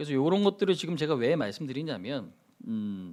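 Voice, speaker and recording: A man's voice swings very widely in pitch in a very clean recording with a silent background. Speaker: stock market broadcaster. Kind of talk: live stock market commentary. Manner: fast; conversational, interactive with viewers.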